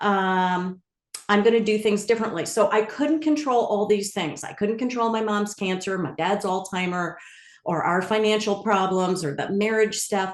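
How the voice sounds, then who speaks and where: A woman with an American accent has an ordinary speaking voice, medium in pitch, with ordinary pitch variation and a moderate pace. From New York area (Bronxville). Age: 60s. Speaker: culinary wellness founder. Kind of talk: interview conversation.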